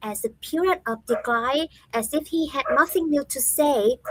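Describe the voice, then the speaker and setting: A woman speaks at a fairly slow pace and a high pitch with lively intonation, the sound dry and close with no echo. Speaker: podcast host presenting history talk. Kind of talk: talk presentation.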